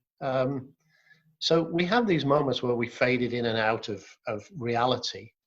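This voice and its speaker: Somewhat breathy, a man speaks at medium pitch. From Wales. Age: 60s. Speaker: business leader and adventurer. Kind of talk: interview. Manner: hesitant, with frequent word repeats.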